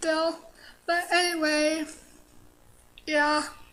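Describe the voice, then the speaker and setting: Amid audible room echo, a woman with an extremely high pitch speaks at a very slow pace. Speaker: vlogger sharing personal story. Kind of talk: personal testimony monologue. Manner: halting, frequent pauses; hesitant, many fillers.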